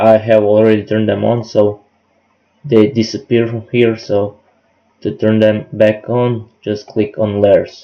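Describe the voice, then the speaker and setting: A man's fairly low, dark, mellow voice with a non-native accent, fairly even intonation and a fairly slow pace. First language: not English. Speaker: hobby woodworker, software tutorial maker. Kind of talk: tutorial.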